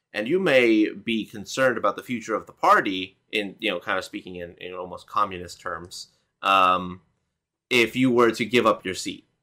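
A man speaks at a moderate pace in an unremarkable speaking voice, medium in pitch with ordinary pitch variation. His loudness swings widely from moment to moment. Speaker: co-host, gamer. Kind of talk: casual chat, political commentary livestream. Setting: online livestream.

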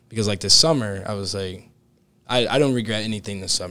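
This man's voice is fairly low in pitch with a bright, sharp tone. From US Midwest (Cincinnati, Ohio). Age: 20s. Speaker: new financial advisor, college student. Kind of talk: interview podcast conversation. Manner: energetic.

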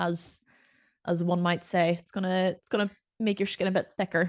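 A woman speaks fairly quickly in a Northern Irish accent, her pitch fairly low. The sound is dry and close with no echo, and the background is quiet. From Northern Ireland. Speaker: podcast co-host and personal trainer. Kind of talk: casual chat.

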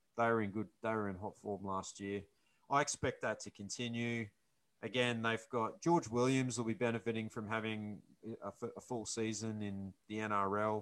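Medium in pitch with ordinary variation, a man speaks at a moderate pace in an unremarkable speaking voice. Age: 40s. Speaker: podcast co-host, rugby league fan show. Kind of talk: casual chat. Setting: video call.

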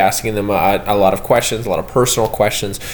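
This man talks at a fairly quick pace. Noticeable background noise can be heard. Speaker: student presenter. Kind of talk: casual class podcast presentation. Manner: casual, many fillers.

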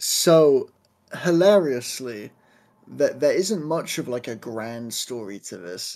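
A man with a southern English accent speaks at a very slow pace in a fairly high pitch. His pitch swings very widely and his loudness swings a lot too. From southern England, Southampton. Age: 20s. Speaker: speedrunner and full-time streamer. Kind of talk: casual interview chat. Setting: live stream interview, remote.

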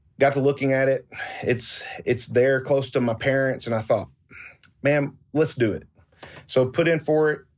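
Speaking in a Southern US accent, a man uses a medium pitch, a moderate pace and a monotone, flat intonation, broken by long, frequent pauses. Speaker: barrel industry executive. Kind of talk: interview. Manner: halting, many repetitions and fillers.

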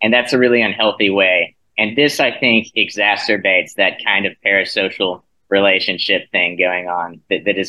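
A man with a plain, everyday voice, fairly low in pitch, with an American accent, fairly even intonation and a moderate pace. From South Carolina. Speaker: graduate student. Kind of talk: casual chat.

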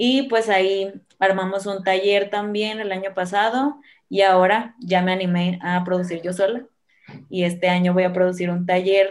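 A woman's medium-pitched voice, an ordinary speaking voice. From Sinaloa, Mexico (Guamúchil). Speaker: stand-up comedian and comedy producer. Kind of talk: casual interview.

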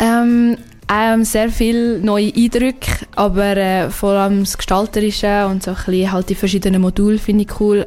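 Over noticeable background noise, a woman with a fairly high pitch speaks at a moderate pace in a monotone, flat delivery. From Switzerland, Aargau / Zurich. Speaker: university student. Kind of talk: radio interview. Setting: radio studio.

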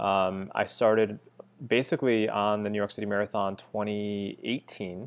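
A man with an American accent speaks in an ordinary speaking voice at a fairly low pitch. His intonation is fairly even and his pace moderate. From US Northeast, western Massachusetts. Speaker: amateur marathon runner and photographer. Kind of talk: casual interview chat.

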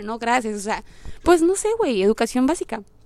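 A woman speaks at a very fast pace. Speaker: podcaster. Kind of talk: casual monologue. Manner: animated; direct.

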